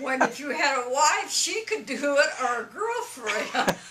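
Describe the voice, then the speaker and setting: A woman's high, raised and projected voice at a fairly slow pace, with very wide pitch swings and noticeable background noise. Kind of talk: casual conversational advice.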